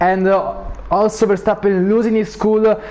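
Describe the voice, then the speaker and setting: A man is speaking here. Noticeable background noise runs underneath. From Italy. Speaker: sim racing league commentator. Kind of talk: live commentary.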